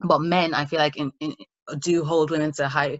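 Her pitch is very deep and low. This woman speaks with an American accent. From Ireland. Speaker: podcast co-host. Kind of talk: casual chat.

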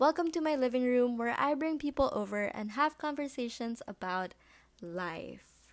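Her high pitch rises and falls with lively intonation as the woman speaks. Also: moderate pace, very clean recording, silent background. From Philippines. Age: 19. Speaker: podcast host, college student. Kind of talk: casual solo monologue. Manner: rambling, with fillers.

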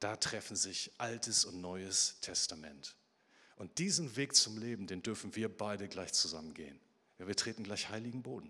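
A man with a fairly low pitch talks with ordinary pitch variation, big swings in loudness, and a tone that is both warm and bright, sharp. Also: moderate pace. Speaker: preacher. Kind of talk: sermon. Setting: church. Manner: animated storytelling with vivid, dramatic pacing; warm, direct address to the congregation.

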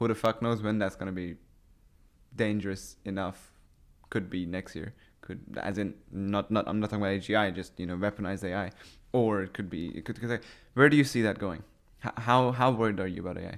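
A man with a Persian accent speaks at a fairly low pitch and a fairly quick pace, his intonation fairly even. Long, frequent pauses break up his speech on a very clean recording with a silent background. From Iran. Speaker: podcast host, YouTuber. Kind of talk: casual chat.

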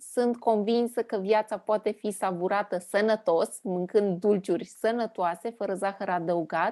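A woman's medium-pitched voice with a dark, mellow tone, fairly even intonation and a very slow pace, over a quiet background. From Transylvania, Romania. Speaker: podcast host and business consultant. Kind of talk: casual interview chat.

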